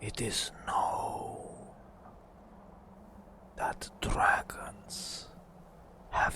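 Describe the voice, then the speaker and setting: Whispering at a very slow pace, a man speaks over noticeable background noise. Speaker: ASMR artist. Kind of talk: ASMR gameplay narration. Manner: soft-spoken, whispered.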